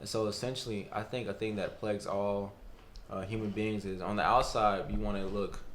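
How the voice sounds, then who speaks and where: A man with an American accent speaks at a fairly quick pace and fairly low pitch. Audible room echo is present. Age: 20s. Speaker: college student. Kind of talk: testimony.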